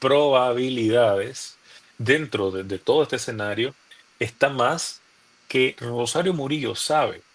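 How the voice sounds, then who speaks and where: Speaking very slowly with a Nicaraguan accent, a man keeps a medium pitch and ordinary pitch variation. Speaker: opposition youth leader, former political prisoner. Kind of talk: interview answer.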